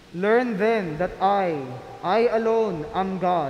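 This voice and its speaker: A man with a high voice speaks at a very slow pace with ordinary pitch variation. Audible room echo surrounds him. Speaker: lector reading scripture and prayers. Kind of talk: reading aloud, scripture and intercessions. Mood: solemn and measured. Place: church. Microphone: podium.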